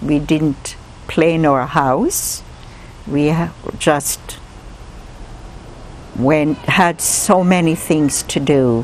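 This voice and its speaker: Very slow speech with long, frequent pauses, ordinary pitch variation, very even loudness, and noticeable background noise. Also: woman, very deep, low pitch for a woman. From Jamaica. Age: 70s. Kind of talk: life story interview answer.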